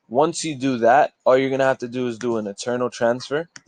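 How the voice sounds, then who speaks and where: Here is a man with a normal speaking voice at medium pitch, moving at a moderate pace. His intonation is fairly even, and the sound is dry and close with no echo. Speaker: forex trading youtuber. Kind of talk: screen-share tutorial. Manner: casual, filler-heavy.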